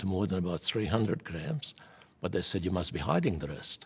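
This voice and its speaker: Ordinary pitch variation with a Hungarian accent. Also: man. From Hungary. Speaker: Holocaust survivor. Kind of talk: oral history testimony.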